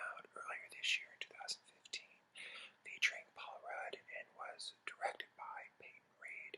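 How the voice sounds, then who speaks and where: The voice is a whisper. It moves at a moderate pace. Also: man. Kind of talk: movie review, whispered ASMR. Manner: whispered.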